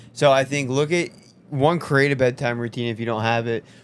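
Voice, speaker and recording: A man mumbling at a moderate pace with fairly even intonation. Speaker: health coach. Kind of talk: casual chat.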